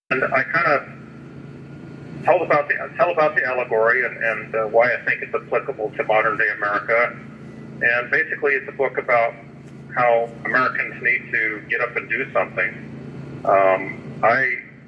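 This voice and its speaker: Noticeable noise runs behind a man speaking at a moderate pace. His pitch is medium, with ordinary variation. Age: 60s. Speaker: army veteran and author calling from jail. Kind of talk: phone interview. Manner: halting with repetitions.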